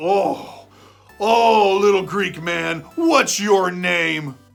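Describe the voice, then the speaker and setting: In a put-on character voice at middle pitch, the speaker talks at a very slow pace over faint background music. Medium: read story.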